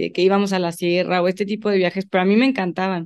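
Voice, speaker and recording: A woman speaks at a medium pitch. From León, Mexico. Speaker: environmental engineering student and composting entrepreneur. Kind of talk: casual interview.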